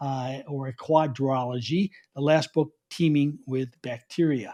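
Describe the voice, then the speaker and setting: Against a quiet background, a man with a dark, mellow tone speaks in a New York accent. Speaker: author and soil biology speaker. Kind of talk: conference talk.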